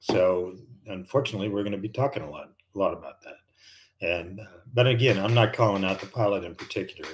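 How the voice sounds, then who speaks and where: In an American accent, a man speaks at a fairly low pitch with ordinary variation and a somewhat breathy quality, on a very clean recording with a silent background. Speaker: retired airline and fighter pilot, flight instructor. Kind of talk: live stream chat. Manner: casual, halting with fillers.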